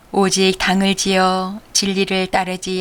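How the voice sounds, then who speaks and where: Speaking at a very slow pace, a woman holds a medium pitch. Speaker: church deacon, Bible reader. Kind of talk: audio Bible reading.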